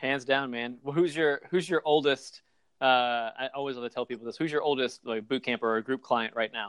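At a fairly quick pace, a man uses an ordinary speaking voice at medium pitch with ordinary pitch variation, the sound dry and close with no echo. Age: 40s. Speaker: fitness business owner and podcast host. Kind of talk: casual interview chat.

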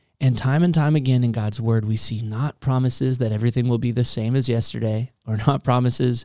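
A man speaks at a medium pitch and a moderate pace, his tone dark and mellow, with fairly even intonation. The sound is dry and close, with no echo. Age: 20s. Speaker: youth pastor. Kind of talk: casual podcast chat.

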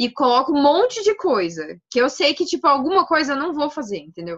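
A woman is speaking at a moderate pace. Her pitch is high. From Brazil, Paraná (Maringá). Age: 20s. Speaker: medical student and cannabis influencer. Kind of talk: casual interview chat.

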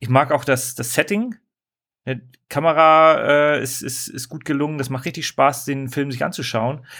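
The speaker is a man with an ordinary speaking voice. His pitch is fairly high. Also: very clean recording, silent background. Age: 30s. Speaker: podcast co-host. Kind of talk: casual chat.

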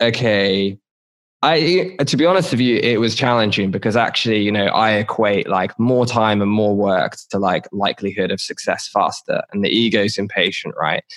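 A man talks at a moderate pace and medium pitch in an unremarkable speaking voice, with ordinary pitch variation and very even loudness. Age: 30s. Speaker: podcaster and self-discovery coach. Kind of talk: casual chat.

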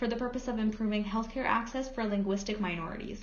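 A woman with a fairly high-pitched voice speaks over noticeable background noise. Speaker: podcast host. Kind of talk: interview, scripted intro.

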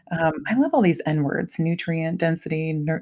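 A woman with an American accent speaks at a moderate pace in an unremarkable speaking voice. Her pitch is fairly low. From Ohio, US Midwest. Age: 40s. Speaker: podcast host, mother. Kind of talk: casual interview chat.

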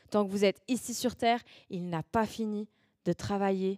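Recorded very cleanly against a silent background, the sound is dry and close with no echo. A woman speaks at medium pitch and moderate pace, her dark, mellow tone carrying fairly even intonation. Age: 20s. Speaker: youth preacher. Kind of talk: sermon.

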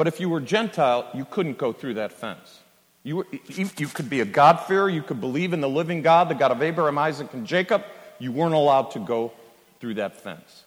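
This man talks at a fairly quick pace, with a fairly high pitch. He has an ordinary speaking voice with an American accent. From California. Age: 60s. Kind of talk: sermon. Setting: church conference with live audience.

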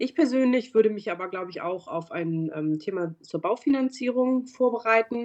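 The speaker moves at a moderate pace with hardly any pauses and very wide pitch swings. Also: woman, fairly high pitch for a woman. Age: 40s. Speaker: bank advisor for medical professionals. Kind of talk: interview. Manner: some hesitation fillers.

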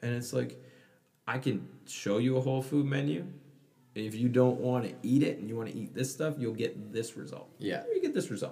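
A man's somewhat breathy, dark, mellow voice at medium pitch, with ordinary pitch variation and a moderate pace. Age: 30s. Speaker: gym owner and fitness coach. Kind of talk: casual interview chat. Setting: studio.

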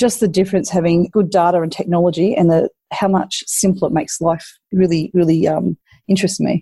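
An Australian accent colors this woman's fairly low, dark, mellow, somewhat breathy voice. She moves at a fairly quick pace with fairly even intonation, in a dry, close sound with no echo. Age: 50s. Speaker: mayor. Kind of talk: interview.

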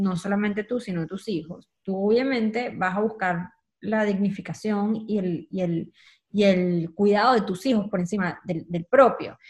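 Over a quiet background, a woman with a Venezuelan accent speaks at a moderate pace and medium pitch, somewhat breathy, with fairly even intonation. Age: 30s. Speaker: communicator and entrepreneur. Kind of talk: casual interview chat.

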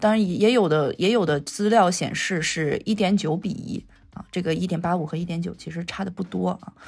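The woman's voice has a somewhat breathy quality. She speaks fairly quickly, her pitch varying in an ordinary way. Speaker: digital cinema technology researcher. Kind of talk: casual interview.

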